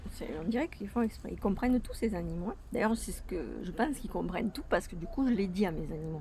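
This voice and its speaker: A woman speaks very fast at a medium pitch with a dark, mellow tone, vocal fry and lively intonation. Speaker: vlogger. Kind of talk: casual vlog. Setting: outdoors in garden.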